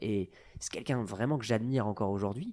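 Here a man speaks with a dark, mellow tone. His pitch sits fairly low. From northern France, Nord-Pas-de-Calais. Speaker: chartered accountant, firm founder. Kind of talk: casual interview. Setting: his office. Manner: hesitant with fillers.

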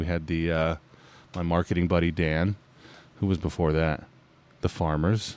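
In a very deep, low pitch, a man speaks with monotone, flat intonation. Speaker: plumbing business owner and podcast host. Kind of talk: casual chat. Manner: joking.

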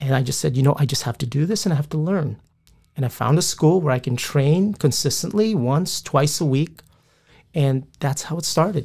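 A man with a dark, mellow tone and a fairly high pitch talks at a moderate pace, somewhat breathy, with ordinary pitch variation. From Philippines, moved to US at nine. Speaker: police officer and jiu-jitsu instructor. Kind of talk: casual interview.

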